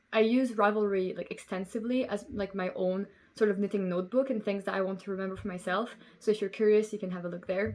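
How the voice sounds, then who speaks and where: Someone with a Belgian French accent talks at a very fast pace with fairly even intonation. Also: woman, medium pitch for a woman. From Belgium. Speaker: knitting podcaster. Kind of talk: casual chat.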